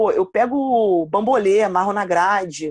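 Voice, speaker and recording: A woman with a plain, everyday voice, medium pitch and ordinary pitch variation is heard against a quiet background, the sound dry and close with no echo. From Rio de Janeiro, Campo Grande (West Zone). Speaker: basketball coach. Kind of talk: casual interview.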